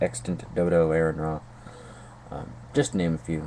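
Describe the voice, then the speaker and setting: Speech at a moderate pace, with noticeable background noise. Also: man. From North Carolina. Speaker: YouTube vlogger. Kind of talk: video response monologue. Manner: hesitant, many fillers and repetitions.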